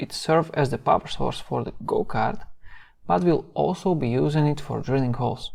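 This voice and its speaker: A man with a non-native accent speaks at a moderate pace in a fairly high pitch, his tone dark and mellow against a quiet background. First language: not English. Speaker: DIY youtuber. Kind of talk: tutorial.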